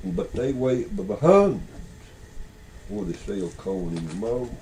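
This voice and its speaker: A man talks in a Southern Appalachian accent over noticeable background noise. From Beech Mountain, North Carolina. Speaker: storyteller. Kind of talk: casual conversation. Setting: audio cassette recording.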